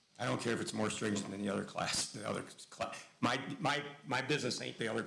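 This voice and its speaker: Talking at a very fast pace and medium pitch, a man is heard with audible room echo and noticeable background noise. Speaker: school board member. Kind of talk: heated debate. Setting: public board meeting. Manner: loud.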